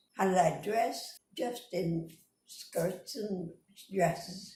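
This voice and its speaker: A woman speaks with an American accent at a medium pitch, her tone dark and mellow and somewhat breathy. Audible room echo surrounds her voice. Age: 80s+. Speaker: interviewee recalling her life. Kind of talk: oral history interview.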